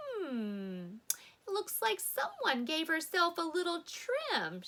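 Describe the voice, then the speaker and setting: Putting on a character voice, a woman speaks at a very slow pace with an extremely high pitch and very wide pitch swings. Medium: read story.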